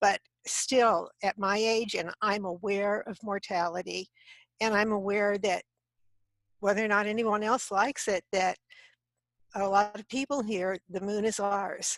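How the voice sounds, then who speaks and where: A woman with an American accent speaks at a medium pitch in a monotone, flat intonation, at a fairly slow pace with long, frequent pauses. The background is quiet and the sound is dry and close with no echo. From southern California (Downey). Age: 70s. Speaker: space advocate panelist. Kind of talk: panel discussion.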